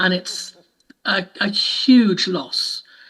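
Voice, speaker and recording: A woman speaks with a British accent. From UK. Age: 70s. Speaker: audio describer and trainer. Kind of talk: panel talk.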